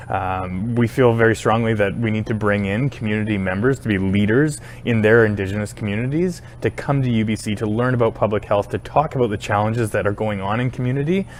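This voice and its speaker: Speaking with a Canadian accent at a very fast pace, the speaker hardly pauses and uses ordinary pitch variation. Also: man, fairly low pitch for a man. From British Columbia, Canada (Powell River). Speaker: university administrator. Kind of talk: interview. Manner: hesitant, with frequent fillers.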